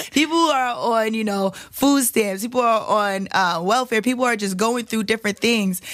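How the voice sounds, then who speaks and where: A woman with a New York accent speaks at a moderate pace with hardly any pauses. Her pitch is fairly high, with ordinary variation. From Staten Island, New York. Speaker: reality competition winner, entrepreneur. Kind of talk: interview.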